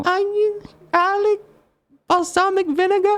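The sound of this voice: A squeaky, put-on character voice pitched extremely high. It moves at a moderate pace.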